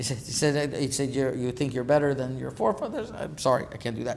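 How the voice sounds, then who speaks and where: This man speaks at a very fast pace and a medium pitch. Audible room echo is present. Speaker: rabbi. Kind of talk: lecture.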